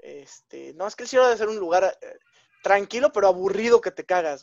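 A man with a Mexican accent speaks at a high pitch and a moderate pace, with long, frequent pauses. The sound is dry and close with no echo, with big swings in loudness and ordinary pitch variation. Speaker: podcast co-host. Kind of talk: casual chat.

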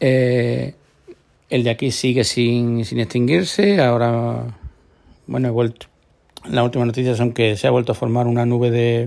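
The speech moves at a moderate pace with long, frequent pauses. Its loudness stays very even. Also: man. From Córdoba, Andalusia, Spain. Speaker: podcast host. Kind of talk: solo podcast monologue. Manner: halting, many repetitions and fillers. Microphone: new microphone meant for video.

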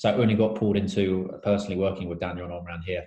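A man with a southern English accent talks at a very fast pace. His fairly low voice has a dark, mellow tone and is somewhat breathy. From southern England. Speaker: startup founder and interviewer. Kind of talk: casual interview.

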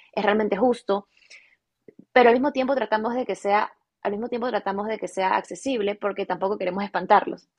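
A woman speaks in a plain, everyday voice at medium pitch, with ordinary pitch variation and a fairly quick pace. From Ecuador, Guayaquil. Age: 20s. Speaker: fashion business owner. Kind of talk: interview.

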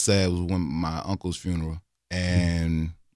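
A man with a Southern US accent speaks at a moderate pace on a very clean recording with a silent background. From Louisiana. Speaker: podcast host. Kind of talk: casual chat.

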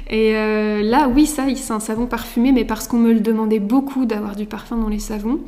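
Over audible room echo, a woman with a fairly high pitch speaks at a moderate pace in a monotone, flat intonation. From France, Mayenne. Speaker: soap maker. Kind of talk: casual chat. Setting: at the guest's home.

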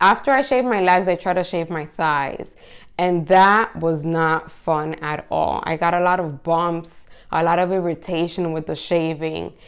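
A woman speaks in an unremarkable speaking voice at a fairly low pitch and fairly slow pace. Her pitch variation is ordinary, and the recording is very clean with a silent background. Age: 30s. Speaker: podcast host. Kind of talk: solo monologue podcast. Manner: casual, conversational.

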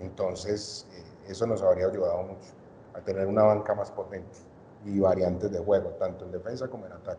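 A man talks fairly quickly in a Cali accent, his loudness swinging widely. Background noise is noticeable. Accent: Colombian Spanish (Cali, Valle). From Colombia, Cali. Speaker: podcast guest, basketball fan. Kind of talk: casual chat.

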